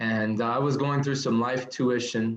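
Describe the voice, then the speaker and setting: A man with an unremarkable speaking voice talks at a moderate pace and a medium pitch. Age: 30s. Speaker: nurse turned speaker and business owner. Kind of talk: podcast interview.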